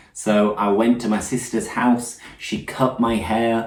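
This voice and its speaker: Speaking fairly slowly, a man is heard over noticeable background noise. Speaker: English teacher. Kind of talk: casual conversation for English learners.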